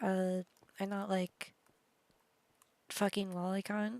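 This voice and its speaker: Monotone, flat intonation at a very slow pace, with a dry, close sound and no echo. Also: woman. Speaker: YouTuber. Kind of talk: commentary. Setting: recorded while gaming. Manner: halting, stuttering.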